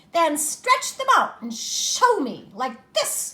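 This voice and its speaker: The speaker uses a put-on character voice. The pace is very slow. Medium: read story. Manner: bouncy, mocking.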